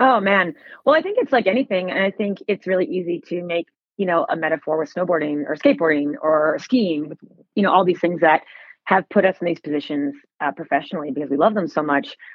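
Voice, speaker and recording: Speaking at a very fast pace, a woman uses lively intonation. Her pitch is fairly low. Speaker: snowboard industry panelist. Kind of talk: casual interview chat. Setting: phone call. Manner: rambling, excited.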